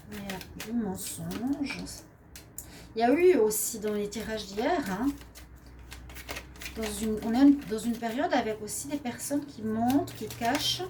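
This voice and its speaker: Speaking fairly slowly with a Swiss accent, a woman leaves long, frequent pauses, her loudness swinging widely and her pitch varying in an ordinary way, amid noticeable background noise and audible room echo. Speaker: tarot card reader. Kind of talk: daily tarot reading. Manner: hesitant, with frequent fillers.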